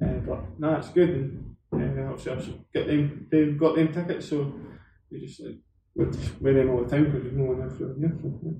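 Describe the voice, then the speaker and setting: With an Edinburgh accent, a man speaks at a moderate pace in a fairly high pitch, his tone dark and mellow with vocal fry and fairly even intonation, amid audible room echo. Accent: Scottish (Edinburgh). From Scotland, Edinburgh. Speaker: professional footballer. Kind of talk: casual chat.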